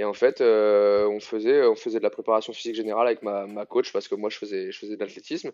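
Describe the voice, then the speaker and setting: Against a quiet background, a man speaks with a medium pitch. His intonation is monotone and flat, and his pace is fairly quick. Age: 30s. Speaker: CrossFit coach. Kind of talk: casual interview.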